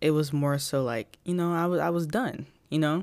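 A woman's voice with a very deep, low pitch. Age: 20s. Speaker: podcast host. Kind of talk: casual solo monologue. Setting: at home, in bed.

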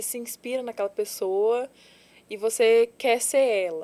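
Speaking at a fairly slow pace, a woman has a fairly high pitch and a dark, mellow tone. The recording is very clean, with a silent background. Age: 20s. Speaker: adult content creator and model. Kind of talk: casual interview chat. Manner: nervous, jumbled speech.

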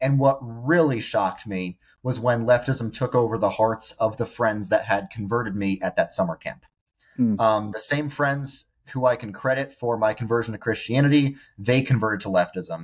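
Using an unremarkable speaking voice, a man talks at a moderate pace with a medium pitch and ordinary pitch variation. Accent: American. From New York suburbs. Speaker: social media influencer. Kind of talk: interview testimony.

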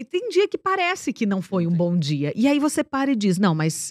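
A dark, mellow tone with very wide pitch swings at a fairly quick pace, dry and close with no echo, on a very clean recording with a silent background. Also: woman. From interior of São Paulo state, Brazil (Ibaté). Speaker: TV presenter and speaker. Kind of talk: interview. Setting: studio.

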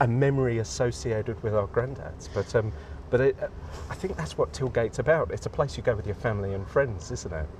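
At a fairly quick pace, a man of medium pitch speaks with a southern English accent. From England, Crawley, West Sussex. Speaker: artist and architect. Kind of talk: casual chat. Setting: outdoors.

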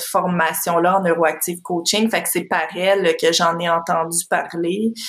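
Noticeable background noise runs under this recording. A woman talks at a medium pitch. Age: 30s. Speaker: parenting coach. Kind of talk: interview.

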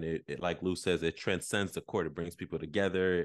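In a Haitian accent, a man with a very deep, low voice talks at a fairly quick pace over a quiet background. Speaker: basketball podcast host. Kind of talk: casual chat. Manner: animated.

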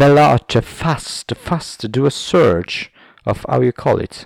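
A man speaks very slowly with an Italian accent. His pitch swings very widely. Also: very clean recording, silent background. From southern Italy. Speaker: podcast host. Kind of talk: casual monologue. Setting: home recording with camera. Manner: halting.

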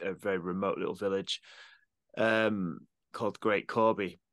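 A man with a northern English accent, fairly low in pitch, monotone and flat, at a moderate pace against a quiet background. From northern England, Cumbria (Eden valley). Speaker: electronic musician and audio producer. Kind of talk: casual chat.

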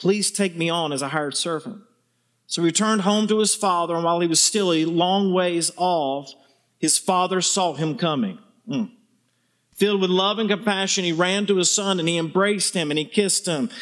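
A man with a Southern US accent, high-pitched, at a fairly quick pace with fairly even intonation, on a very clean recording with a silent background. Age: 50s. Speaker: visiting preacher. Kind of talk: sermon. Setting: church with congregation.

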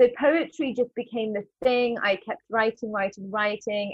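Fairly high pitch from a woman with a London accent, ordinary pitch variation and a fairly slow pace. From London, England. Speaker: actress and spoken word artist. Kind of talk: casual interview. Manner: hesitant, with fillers.

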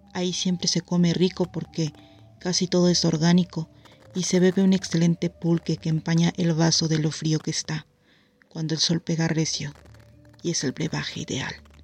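A woman's fairly low, monotone voice at a moderate pace, dry and close with no echo, music playing in the background. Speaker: storyteller, narrator of family anecdote. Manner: measured, hushed storyteller's pacing, building suspense and eerie atmosphere.

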